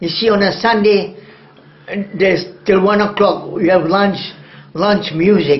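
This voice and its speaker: Speaking at a fairly slow pace with long, frequent pauses, a man with a high pitch keeps his intonation fairly even amid noticeable background noise and audible room echo. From Singapore. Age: 80s+. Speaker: retired jazz drummer. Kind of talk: oral history interview. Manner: halting.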